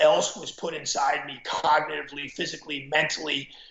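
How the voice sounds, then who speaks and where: Audible room echo surrounds a man speaking. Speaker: former football coach. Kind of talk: interview storytelling.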